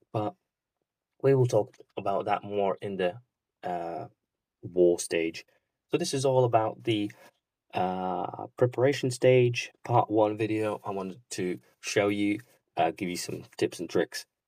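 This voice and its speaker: A man mumbles at a fairly slow pace in a dark, mellow tone, with ordinary pitch variation and long, frequent pauses. The sound is dry and close with no echo. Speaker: gaming youtuber. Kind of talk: tutorial. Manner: mumbling; halting.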